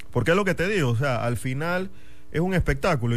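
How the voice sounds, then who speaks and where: With lively intonation and a fairly quick pace, a man talks in an ordinary speaking voice. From Panama, Chiriquí (David). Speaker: football fan club member. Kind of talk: casual radio chat. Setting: radio studio.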